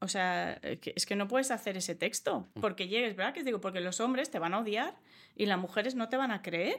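A woman's medium-pitched voice at a moderate pace with ordinary pitch variation, on a very clean recording with a silent background. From Australia. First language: English (speaking Spanish). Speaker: comedian. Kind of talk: interview.

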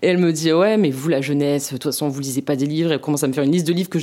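Very fast, a woman speaks in a very deep, low pitch with a dark, mellow tone and ordinary pitch variation. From southwest France, Landes. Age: 20s. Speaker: political activist and student. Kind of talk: interview. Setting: at home. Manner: hesitant, many fillers.

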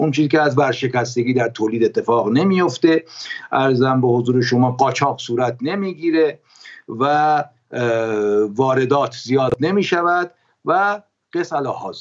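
A man with a medium pitch and ordinary pitch variation talks at a fairly slow pace, leaving long, frequent pauses. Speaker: economist. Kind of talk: interview.

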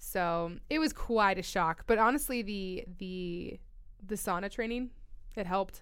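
A woman talks in an unremarkable speaking voice with a General American accent. Her medium pitch shows ordinary variation at a moderate pace. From Colorado. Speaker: trail runner and mountain athlete. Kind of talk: casual interview. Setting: studio.

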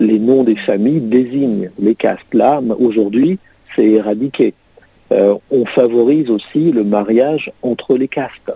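A man talks at a very slow pace, his loudness very even and his pitch varying in an ordinary way. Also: medium pitch for a man. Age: 60s. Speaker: president of a humanitarian association. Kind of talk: radio interview.

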